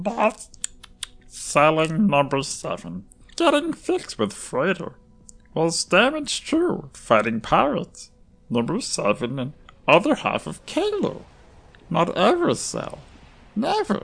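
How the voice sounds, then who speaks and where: In a put-on character voice at middle pitch, the speaker goes at a fairly slow pace with long, frequent pauses. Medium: audio drama. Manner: broken, simplified speech, refers to self in third person.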